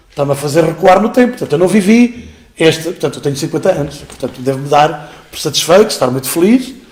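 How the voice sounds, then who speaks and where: A man speaks very fast with lively intonation in a fairly high-pitched voice. Noticeable background noise runs underneath. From Portugal, Beira Alta. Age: 50s. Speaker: school director and teacher. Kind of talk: interview. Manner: hesitant, many fillers.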